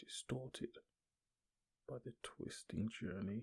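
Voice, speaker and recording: The sound is dry and close, without any echo. A man talks very slowly. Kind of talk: ASMR story reading, audio only. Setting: ear to ear binaural recording. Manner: whispered, soft-spoken, slow.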